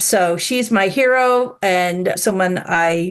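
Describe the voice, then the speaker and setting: Over a quiet background comes an ordinary speaking voice with ordinary pitch variation. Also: woman. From Long Island, New York. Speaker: business executive. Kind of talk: interview. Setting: video call.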